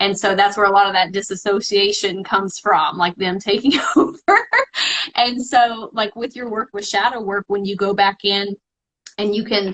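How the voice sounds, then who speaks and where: At a moderate pace and medium pitch, a woman speaks with fairly even intonation in an ordinary speaking voice. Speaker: spiritual healer. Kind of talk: live-stream conversation. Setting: live video stream.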